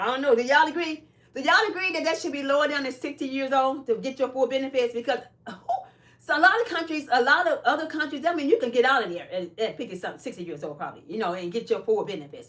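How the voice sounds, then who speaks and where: Someone with an American accent speaks very fast, the pitch swinging very widely, over noticeable background noise. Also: woman, high pitch for a woman. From Chicago, US Midwest. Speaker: live streamer and caregiver. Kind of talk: casual live stream chat.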